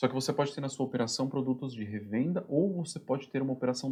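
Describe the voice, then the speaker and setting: A man's somewhat breathy voice with a dark, mellow tone, very fast pace and ordinary pitch variation. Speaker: production planning instructor. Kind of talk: tutorial.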